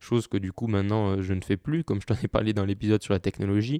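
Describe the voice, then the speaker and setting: Recorded dry and close with no echo, a man speaks with fairly even intonation. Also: quiet background. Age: 20s. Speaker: podcast host. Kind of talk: solo monologue podcast. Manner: hesitant, many fillers.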